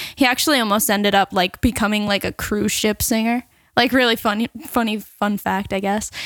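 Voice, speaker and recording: In an American accent, a woman with a plain, everyday voice talks at a fairly quick pace and fairly high pitch, with fairly even intonation and a dry, close sound with no echo. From Long Island, New York (Seaford). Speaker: singer. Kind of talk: casual chat.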